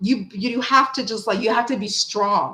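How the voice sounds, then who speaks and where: The delivery is animated, with an American accent. It moves at a moderate pace with ordinary pitch variation. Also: woman. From USA. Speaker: tarot reader. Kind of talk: casual live chat. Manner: loud. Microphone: cheap mic pushed far away behind laptop.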